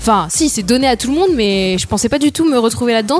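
Noticeable background noise is present. Over it, the speech carries lively intonation. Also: woman. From France, Sarthe. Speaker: radio show guest. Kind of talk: casual radio chat.

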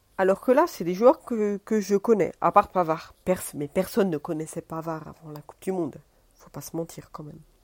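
This woman's voice sits at a medium pitch with ordinary variation, moving at a moderate pace. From France. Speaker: podcaster. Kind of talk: casual monologue. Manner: halting, many hesitations.

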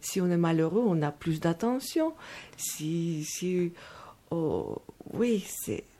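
A woman speaks at a very slow pace with long, frequent pauses, in a fairly low pitch. Her tone is dark and mellow, with ordinary pitch variation. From Moldova. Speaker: meditation teacher. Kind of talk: radio interview.

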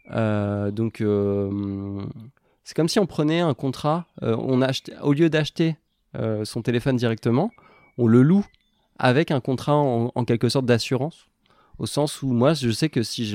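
A man speaks in a dark, mellow tone at a medium pitch, with ordinary pitch variation. His pace is fairly slow with long, frequent pauses, on a very clean recording with a silent background and a dry, close sound with no echo. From Normandy, France. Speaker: local currency coordinator. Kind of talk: casual interview. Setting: at home in an apartment. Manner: hesitant, many fillers.

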